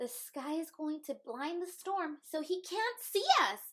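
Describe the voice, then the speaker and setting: This woman uses a put-on character voice pitched extremely high. She talks at a fairly slow pace. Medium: read story. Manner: confident, explaining.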